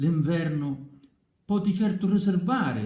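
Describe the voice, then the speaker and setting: This man's voice has a dark, mellow tone. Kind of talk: poetry reading.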